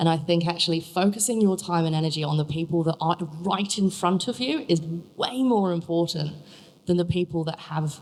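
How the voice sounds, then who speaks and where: A woman with an English accent talks at a moderate pace and ordinary pitch variation over noticeable background noise. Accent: English (Pommy). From England. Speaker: young grower competition contestant, packing manager. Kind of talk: panel Q&A answer.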